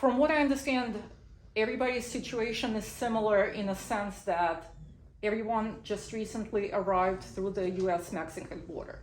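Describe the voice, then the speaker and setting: At a moderate pace, a woman speaks with fairly high pitch and ordinary pitch variation, with audible room echo around her. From Belarus. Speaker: immigration lawyer. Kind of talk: legal information talk via interpreter. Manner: short sentences, paced for translation.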